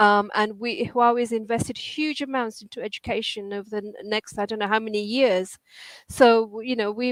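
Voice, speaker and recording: In a dry, close sound with no echo, a woman with an unremarkable speaking voice and a fairly high pitch talks at a moderate pace with fairly even intonation. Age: 60s. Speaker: education programme director, engineer. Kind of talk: interview. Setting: online live stream.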